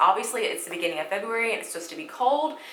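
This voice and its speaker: A woman speaks with lively intonation in a Southern US accent. Audible room echo and noticeable background noise come through. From US South, Alabama. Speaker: beauty vlogger. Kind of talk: makeup tutorial. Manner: casual, chatty.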